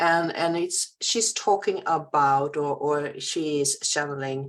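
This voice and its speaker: A woman with a Swedish accent and a very deep, low pitch, at a very slow pace. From Sweden. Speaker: spiritual healer and channeler. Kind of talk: casual chat. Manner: halting.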